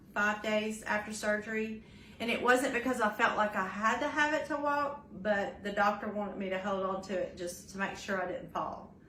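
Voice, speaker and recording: Speaking at a fairly high pitch and a moderate pace is a woman. Background noise is noticeable, and room echo can be heard. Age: 60s. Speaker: vlogger recovering from knee surgery. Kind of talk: casual video update and tips. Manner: hesitant with many fillers.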